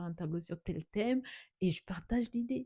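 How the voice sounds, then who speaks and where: Somewhat breathy and medium in pitch, the woman's voice shows ordinary pitch variation. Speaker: artist vlogger. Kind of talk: late-night casual vlog. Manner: halting, repeats words.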